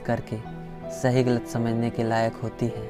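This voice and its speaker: Music plays in the background as a man of medium pitch speaks. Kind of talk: motivational spoken-word monologue.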